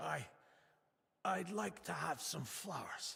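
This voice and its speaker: Using a put-on character voice, a man talks fairly slowly in a raspy, high register. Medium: video game. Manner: gentle, earnest.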